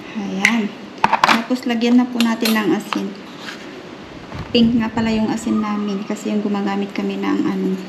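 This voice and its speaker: A fairly high female voice with fairly even intonation and noticeable background noise. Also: moderate pace. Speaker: home cooking vlogger. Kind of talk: cooking tutorial. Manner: stumbling over words; casual, chatty. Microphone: broken mic, voice sounds distant.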